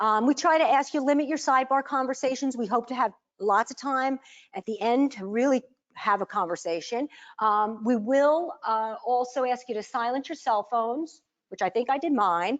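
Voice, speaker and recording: A loud, high-pitched woman's voice with lively intonation at a fairly quick pace over a quiet background. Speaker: learning community facilitator. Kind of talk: workshop presentation. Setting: meeting room with audience, streamed online. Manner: animated.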